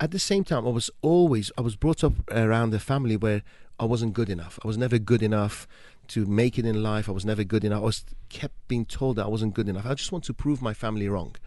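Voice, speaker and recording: Over a quiet background, a dark, mellow voice moves at a very fast pace with ordinary pitch variation. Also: man, medium pitch for a man. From Iran. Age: 50s. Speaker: entrepreneur and sales coach. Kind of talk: radio interview. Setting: radio studio. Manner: animated, motivational.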